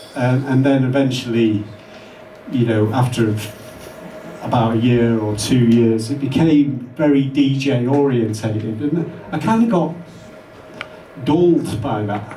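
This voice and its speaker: Speaking in a Manchester accent, a man goes at a fairly slow pace with long, frequent pauses. Noticeable background noise and audible room echo fill the recording. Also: medium pitch for a man, ordinary pitch variation. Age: 60s. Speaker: electronic musician. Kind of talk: interview.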